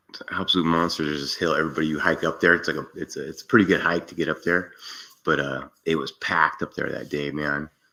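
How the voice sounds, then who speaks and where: This man has a very deep, low pitch and a bright, sharp tone. He speaks at a fairly quick pace. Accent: Californian. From US West Coast, San Francisco Bay Area. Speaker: content creator, explorer. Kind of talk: casual chat. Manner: laid-back, casual slang.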